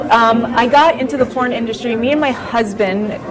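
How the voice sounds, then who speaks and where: Clear music plays in the background as the speaker goes at a moderate pace with ordinary pitch variation. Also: woman. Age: 30s. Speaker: adult film performer; interviewee. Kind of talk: interview. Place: home room.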